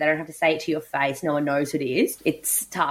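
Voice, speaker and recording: In a very clean recording against a silent background, a woman talks with an Australian accent. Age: 30s. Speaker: podcast host and lawyer. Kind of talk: interview.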